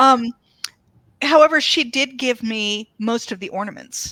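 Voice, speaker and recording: Recorded very cleanly against a silent background, with a dry, close sound and no echo, a woman's bright, sharp voice sits at a medium pitch and moves in very wide pitch swings. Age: 60s. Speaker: author. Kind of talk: casual chat.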